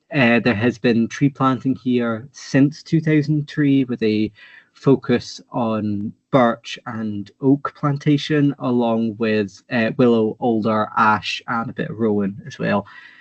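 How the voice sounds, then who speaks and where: The delivery is very slow, with hardly any pauses and ordinary pitch variation. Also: man, medium pitch for a man. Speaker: researcher giving a talk. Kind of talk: lecture.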